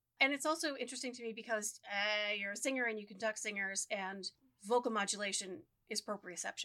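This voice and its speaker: A loud, bright, sharp woman's voice, fairly high in pitch with ordinary variation, at a very fast pace. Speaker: podcast co-host. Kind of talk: casual chat. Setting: studio microphone.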